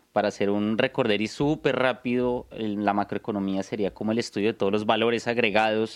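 Speaking with a Bogotá accent, the voice keeps a fairly even intonation in a dry, close sound with no echo. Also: man. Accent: Colombian Spanish (Bogotá). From Bogotá, Colombia. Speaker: podcast co-host, investor. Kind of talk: casual chat.

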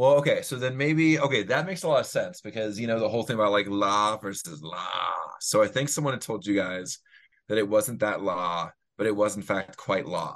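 A man talks at a fairly quick pace in a normal speaking voice, medium in pitch. His intonation is lively, and the background is quiet. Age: 40s. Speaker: former volunteer and teacher. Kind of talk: casual chat.

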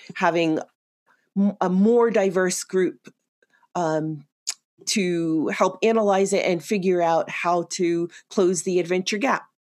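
In an American accent, a woman speaks very slowly with long, frequent pauses. Her medium-pitched voice keeps a fairly even intonation. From New York City (Queens). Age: 50s. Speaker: outdoor media creator and army veteran. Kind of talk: interview conversation.

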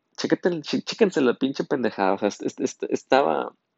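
A man talks at a fairly slow pace. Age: 20s. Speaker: podcast host, engineering student. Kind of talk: casual solo monologue. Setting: solo recording at night.

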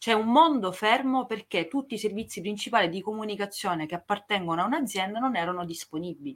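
With an Italian accent, a woman talks at a very fast pace with hardly any pauses, her medium-pitched voice full of lively intonation on a very clean recording with a silent background. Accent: strongly Italian when speaking English. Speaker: podcast co-host. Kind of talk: casual chat.

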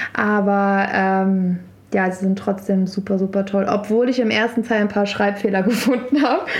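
A woman with an ordinary speaking voice talks at a moderate pace and medium pitch, her intonation fairly even and her loudness very even. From Berlin and Brandenburg, Germany. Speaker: DJ and festival co-founder. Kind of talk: casual interview.

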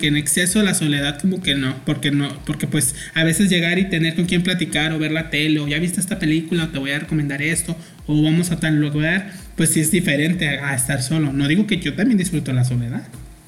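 A man speaks over noticeable background noise. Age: 30s. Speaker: podcast host, graphic designer. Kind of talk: casual chat.

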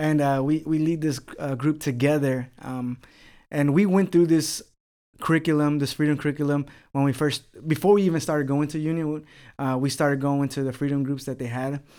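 A man's fairly high voice with a dark, mellow tone, an American accent, fairly even intonation and a fairly quick pace. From Texas, Houston southwest side. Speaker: pastor. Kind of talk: casual chat.

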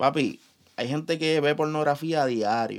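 A man with a plain, everyday voice talks at a fairly slow pace and a fairly high pitch. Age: 20s. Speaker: podcast co-host. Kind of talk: casual chat.

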